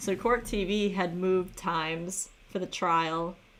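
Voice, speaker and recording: A woman speaks with a Chicago accent. Her pitch is fairly low and her intonation is monotone and flat. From US Midwest, Michiana area near Chicago. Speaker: true crime livestreamer. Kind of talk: casual livestream chat.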